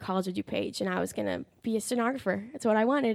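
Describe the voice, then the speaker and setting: A plain, everyday voice with fairly even intonation, captured in a very clean recording against a silent background. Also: woman. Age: young (19). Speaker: Bible college student. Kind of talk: testimony.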